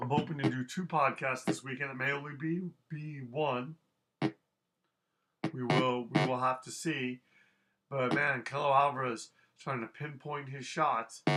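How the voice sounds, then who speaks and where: A man with a fairly high pitch speaks at a fairly slow pace, with fairly even intonation and long, frequent pauses, over music in the background. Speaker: podcaster doing imagined fight commentary. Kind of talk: simulated live boxing commentary. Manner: halting, frequent repetitions and fillers.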